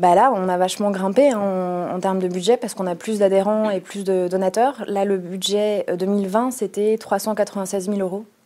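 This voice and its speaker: At a fairly slow pace, a woman with a medium pitch and a dark, mellow tone speaks with fairly even intonation. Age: 30s. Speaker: lawyer and anti-corruption association president. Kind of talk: interview.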